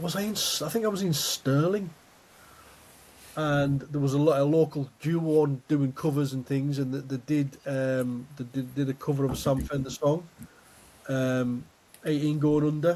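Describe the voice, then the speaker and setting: A man speaks at a moderate pace with a fairly high pitch and fairly even intonation, over noticeable background noise. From Scotland. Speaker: podcast host. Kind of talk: casual chat.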